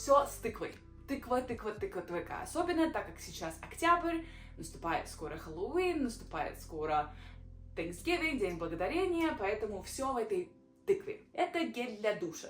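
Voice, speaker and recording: A woman speaks at a moderate pace in a high voice. Her pitch swings very widely, and her loudness rises and falls sharply. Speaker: vlogger. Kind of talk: casual vlog. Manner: halting.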